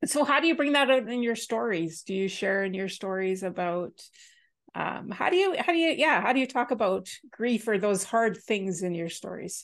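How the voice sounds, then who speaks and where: With a normal speaking voice, a woman talks at a moderate pace, her fairly high pitch carried by lively intonation. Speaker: co-host. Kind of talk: casual chat.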